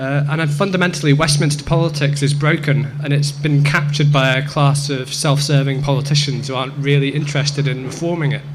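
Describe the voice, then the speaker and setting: Over noticeable background noise and audible room echo, a man speaks very fast at a fairly high pitch, with hardly any pauses and monotone, flat intonation. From southwest Scotland, Dumfries and Galloway (born in England). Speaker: political activist at a debate. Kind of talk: debate speech. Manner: halting, many fillers.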